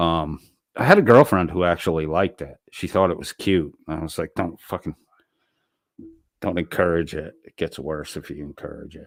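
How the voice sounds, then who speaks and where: With a very deep, low pitch, a man talks at a moderate pace in an animated tone, his loudness swinging widely, the sound dry and close with no echo. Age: 50s. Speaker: streamer. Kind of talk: casual monologue rant. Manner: animated, repetitive false starts.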